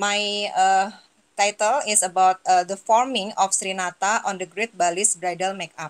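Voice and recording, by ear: A woman speaks at medium pitch and a moderate pace. Her tone is clear and smooth, with fairly even intonation.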